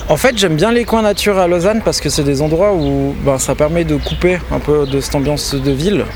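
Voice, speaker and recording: A man at a moderate pace with ordinary pitch variation, amid noticeable background noise. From Switzerland, Valais (Chablais). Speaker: local resident guide. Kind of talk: casual interview on a walk. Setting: outdoors. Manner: hesitant, many fillers.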